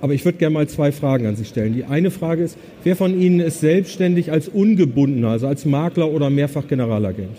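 A somewhat breathy, dark and mellow voice with lively intonation at a very fast pace. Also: man, fairly high pitch for a man. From northern Germany, Bremen. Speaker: business consultant. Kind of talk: conference talk. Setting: stage with audience.

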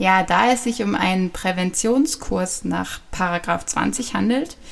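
Vocal fry runs through a woman's speech, which has ordinary pitch variation. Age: 20s. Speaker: podcast host, health education trainee. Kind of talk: informational podcast monologue.

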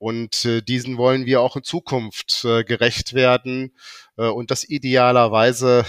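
The sound is dry and close with no echo as a man speaks at a medium pitch and a fairly slow pace. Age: 50s. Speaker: bank executive. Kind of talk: corporate interview. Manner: hesitant with filler sounds.

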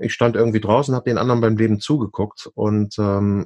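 A man delivers a plain, everyday voice at a fairly quick pace and a fairly low pitch. His pitch varies in an ordinary way, and the sound is dry and close with no echo. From Hamburg, northern Germany. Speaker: actor and musical performer. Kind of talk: interview.

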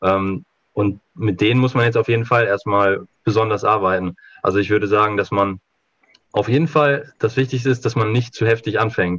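A man talks at a moderate pace with a normal speaking voice. His pitch is medium, with ordinary pitch variation. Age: 20s. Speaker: handball coach. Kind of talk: podcast interview.

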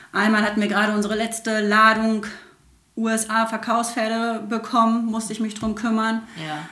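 Flat, monotone woman's voice at a fairly high pitch and moderate pace, with audible room echo and noticeable background noise. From Germany, Sauerland. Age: 30s. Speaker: horse trainer. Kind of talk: casual chat. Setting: in her home.

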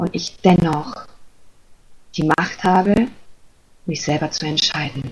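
A woman speaks at a very slow pace and a fairly low pitch. She takes long, frequent pauses, with ordinary pitch variation. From Germany. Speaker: spiritual coach. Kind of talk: podcast interview. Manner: hesitant, many fillers.

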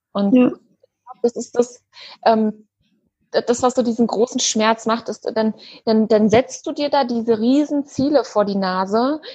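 The speaker leaves long, frequent pauses. Pitch variation is ordinary. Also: woman, fairly high pitch for a woman. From Germany, Berlin. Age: 30s. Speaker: eating disorder coach and part-time nurse. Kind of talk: interview.

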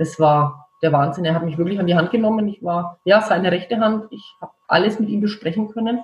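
The speaker, in a Franconian accent, sounds somewhat breathy and keeps a moderate pace. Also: woman. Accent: Franconian rolled R. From Franconia, Germany. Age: 40s. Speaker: beautician and skincare founder. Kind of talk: interview.

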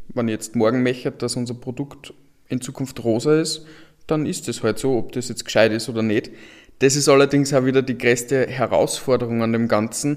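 A man speaks at a moderate pace in a plain, everyday voice, medium in pitch, with fairly even intonation. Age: 20s. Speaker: software entrepreneur. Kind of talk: panel discussion.

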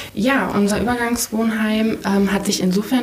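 A woman at a fairly slow pace with fairly even intonation, amid noticeable background noise and audible room echo. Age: 20s. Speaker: refugee shelter deputy manager. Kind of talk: interview. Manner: hesitant, many fillers.

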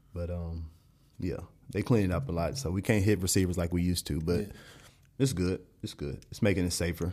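A man with a Texan accent speaks fairly quickly in a very deep, low voice with a dark, mellow tone. Long, frequent pauses break it up, on a very clean recording with a silent background. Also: ordinary pitch variation. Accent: Texan American. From Dallas, Texas. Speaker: professional football player. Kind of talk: casual chat.

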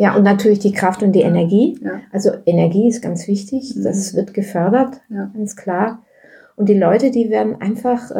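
This woman's medium-pitched voice is somewhat breathy, with a dark, mellow tone. She keeps a moderate pace and fairly even intonation. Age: 70s. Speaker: yoga teacher. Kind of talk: casual interview.

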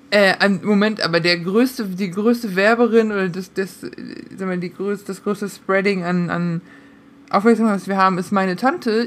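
A woman with a plain, everyday voice speaks at a moderate pace. Her pitch is medium, with ordinary variation. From Münsterland, Germany. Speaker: podcast co-host. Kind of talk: casual chat.

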